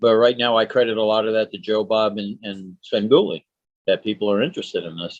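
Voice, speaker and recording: In an ordinary speaking voice, a man talks fairly quickly at a fairly low pitch, with big swings in loudness. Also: ordinary pitch variation. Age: 60s. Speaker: horror host. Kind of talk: casual chat.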